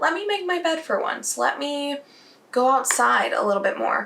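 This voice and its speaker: A woman speaks in a raised, projected voice at a fairly slow pace, her pitch swinging very widely. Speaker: beauty vlogger. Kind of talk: casual vlog talk.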